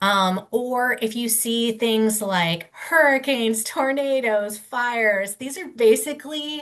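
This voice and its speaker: In an ordinary speaking voice, a woman talks fairly high with lively intonation. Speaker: legal clinic presenter on commercial leases. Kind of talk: webinar presentation. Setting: webinar. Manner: casual, many fillers.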